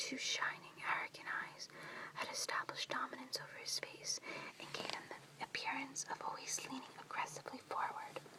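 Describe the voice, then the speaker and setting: Whispering can be heard with noticeable background noise behind it. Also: woman. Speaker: whisper reader (ASMR-style). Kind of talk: audiobook reading in a whisper. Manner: whispered, soft.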